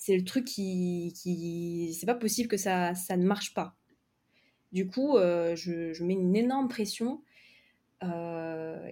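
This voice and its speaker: A woman's dark, mellow tone at medium pitch, with ordinary pitch variation, on a very clean recording with a silent background. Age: 20s. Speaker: novelist and content creator for writers. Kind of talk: casual interview.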